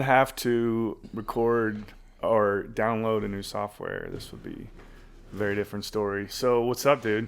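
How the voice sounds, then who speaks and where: On a very clean recording with a silent background, a man with an American accent speaks at medium pitch and a fairly slow pace. His intonation is monotone and flat, with big swings in loudness. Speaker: podcast co-host. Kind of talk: casual podcast conversation.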